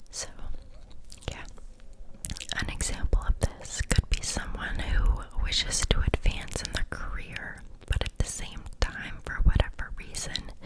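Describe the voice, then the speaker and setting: Over noticeable background noise, a woman whispers fairly slowly with big swings in loudness and long, frequent pauses. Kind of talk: ASMR whisper ramble about psychology. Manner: whispered, friendly, chatty.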